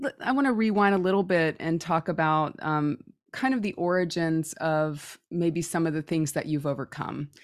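A woman with an unremarkable speaking voice, fairly low and with lively intonation, at a moderate pace in a very clean recording with a silent background. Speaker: intuitive medium and podcast host. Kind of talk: interview chat.

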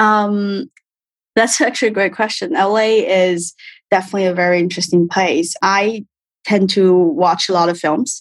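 A woman with a Chinese accent talks at a moderate pace and medium pitch, with ordinary pitch variation. Her loudness stays very even against a quiet background. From China. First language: Mandarin Chinese. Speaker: film production executive. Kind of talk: interview. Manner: halting.

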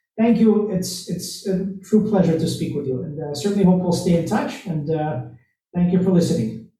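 A man's high-pitched voice, dark and mellow in tone, at a moderate pace with ordinary pitch variation and audible room echo. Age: 30s. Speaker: podcast host and CEO. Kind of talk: interview.

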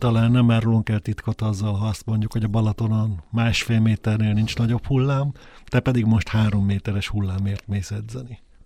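With a dark, mellow tone, this man talks at a fairly quick pace in a fairly low pitch and a monotone, flat delivery. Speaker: interviewer host. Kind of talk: interview. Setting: studio.

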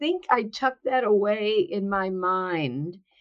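A very slow delivery in a New Jersey accent, with ordinary pitch variation. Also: woman. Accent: New Jersey American. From New Jersey, US. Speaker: author and workplace consultant. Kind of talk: interview.

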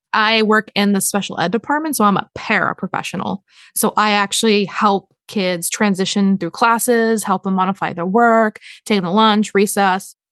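In a normal speaking voice, a woman with an American accent talks at a medium pitch and moderate pace, her intonation fairly even, the sound dry and close with no echo against a quiet background. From Massachusetts, near Boston. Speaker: author. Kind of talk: interview.

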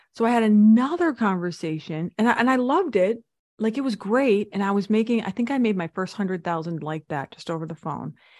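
Against a quiet background, a woman talks in a plain, everyday voice. Her pitch is medium and her intonation lively. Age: 40s. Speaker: speaking coach and business consultant. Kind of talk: interview.

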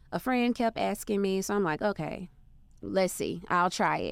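A woman's normal speaking voice with an American accent, medium in pitch, ordinary pitch variation and a moderate pace, on a very clean recording with a silent background. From Arkansas, US South. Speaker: entrepreneur. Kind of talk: interview.

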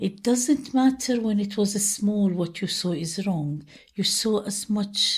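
Very slowly, a woman talks in a somewhat breathy voice. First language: Arabic. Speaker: memoir author. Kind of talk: interview with readings of her own work.

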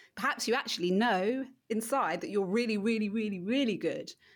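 A woman with an English accent is heard in a very clean recording with a silent background. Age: 40s. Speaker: marketing coach. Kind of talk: casual interview chat.

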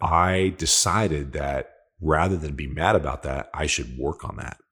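On a very clean recording with a silent background, a man with an American accent speaks in a very deep, low pitch with vocal fry and ordinary pitch variation. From upstate New York, US. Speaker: technology sales leader. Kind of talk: interview conversation.

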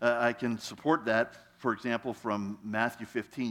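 At a fairly slow pace, a man uses a plain, everyday voice with a medium pitch and fairly even intonation. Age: 60s. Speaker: guest pastor. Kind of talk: sermon. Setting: church.

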